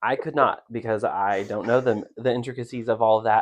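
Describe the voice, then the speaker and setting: In an American accent, a man speaks at a medium pitch and a moderate pace. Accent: Southern US hick accent, usually covered up. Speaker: podcast co-host. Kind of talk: casual chat. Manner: animated.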